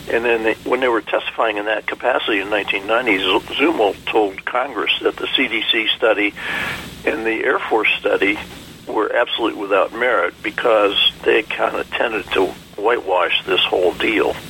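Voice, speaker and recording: Moderately paced male speech with noticeable noise behind it. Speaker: Vietnam veteran pilot. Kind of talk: radio interview. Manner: halting.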